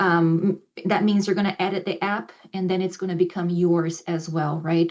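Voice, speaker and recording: At a moderate pace, a woman speaks in an ordinary speaking voice, medium in pitch, with fairly even intonation. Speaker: ESL professor. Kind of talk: presentation to faculty; instructional video for students.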